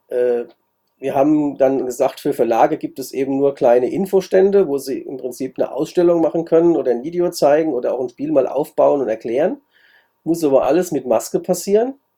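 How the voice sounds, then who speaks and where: A man with a fairly high pitch and a dark, mellow tone talks at a fairly quick pace, varying his pitch in an ordinary way. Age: 60s. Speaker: board game event organizer. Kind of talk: interview.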